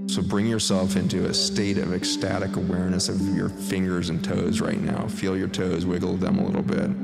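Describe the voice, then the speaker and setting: Music plays in the background as a man speaks. He keeps a fairly quick pace with hardly any pauses. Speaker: meditation guide. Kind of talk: guided meditation. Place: studio.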